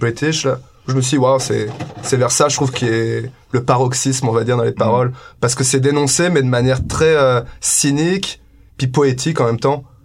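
A man's medium-pitched voice at a moderate pace, with fairly even intonation and very even loudness, over noticeable background noise. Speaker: band member musician.

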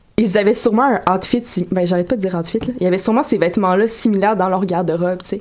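A very fast woman's voice at medium pitch, with ordinary pitch variation, very even loudness and noticeable background noise. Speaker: radio columnist. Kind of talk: casual chat.

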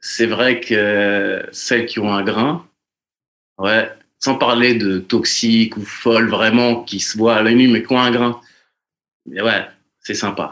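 Male voice at medium pitch. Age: 30s. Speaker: podcast guest. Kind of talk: casual chat.

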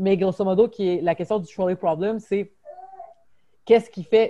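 The sound is dry and close, with no echo. A woman speaks at medium pitch in a dark, mellow tone with fairly even intonation. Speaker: podcast host. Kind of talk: casual chat. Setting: video call. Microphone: unstable internet connection, lag.

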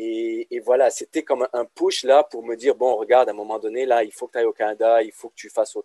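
A man speaks at a very fast pace. The recording is dry and close, without any echo. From Lebanon. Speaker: business lecturer. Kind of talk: casual interview.

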